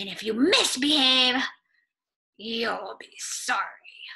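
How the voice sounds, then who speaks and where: In a put-on character voice, a woman hisses at a high pitch. Her pace is very slow. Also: ordinary pitch variation. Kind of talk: read-aloud character voice for preschoolers. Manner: snappish, stern, threatening.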